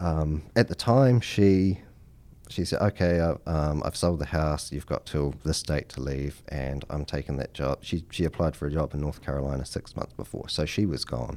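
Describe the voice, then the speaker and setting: This man's very deep, low voice has a dark, mellow tone, ordinary pitch variation and a moderate pace. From New Zealand. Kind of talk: casual interview chat.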